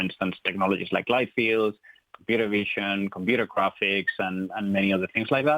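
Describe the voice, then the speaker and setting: With a Spanish accent, a man speaks at a fairly quick pace in a fairly low voice with fairly even intonation. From Spain. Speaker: tech company co-founder. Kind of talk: radio interview. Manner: hesitant, many fillers.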